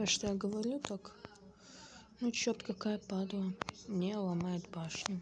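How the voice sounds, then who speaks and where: Very slow and somewhat breathy, a woman's speech is broken by long, frequent pauses. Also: medium pitch for a woman. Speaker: gaming youtuber. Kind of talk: gameplay commentary. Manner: animated.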